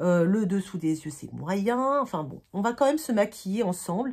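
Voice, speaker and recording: On a very clean recording with a silent background, a woman speaks somewhat breathily at a medium pitch and moderate pace, her pitch swinging very widely. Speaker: beauty vlogger. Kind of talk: casual chat. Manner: halting, many fillers.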